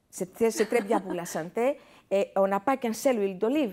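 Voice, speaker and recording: Lively intonation from a woman with a dark, mellow tone at a moderate pace, on a very clean recording with a silent background. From Greece. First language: Greek (speaking French). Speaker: chef and restaurant owner. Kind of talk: TV interview. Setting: TV studio. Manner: halting, many hesitations.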